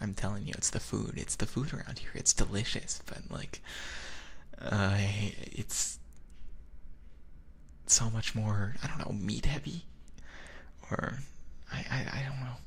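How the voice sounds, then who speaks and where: Whispering at a fairly slow pace, a man can be heard over noticeable background noise. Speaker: vtuber. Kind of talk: ASMR boyfriend roleplay.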